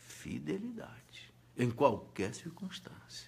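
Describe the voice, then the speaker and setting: With vocal fry, a man's voice swings very widely in pitch. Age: 60s. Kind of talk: live-stream Q&A talk. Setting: Facebook live video. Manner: halting, repetitive.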